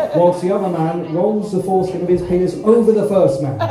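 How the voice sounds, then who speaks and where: A man talks in a high voice amid noticeable background noise and audible room echo. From East Anglia, Suffolk (Ipswich). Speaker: stand-up comedian. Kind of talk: stand-up. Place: stage.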